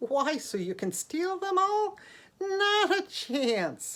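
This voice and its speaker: Squeaky and at an extremely high pitch, this is a put-on character voice. It moves at a very slow pace. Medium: read story. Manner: light, teasing.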